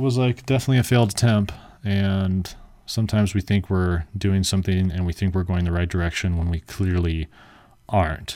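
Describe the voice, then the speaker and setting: Very clean recording, silent background, and a man with a fairly low pitch. He talks at a fairly quick pace with ordinary pitch variation. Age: 30s. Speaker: podcast host and dating coach. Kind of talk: sales pitch; casual monologue. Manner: rambling, informal.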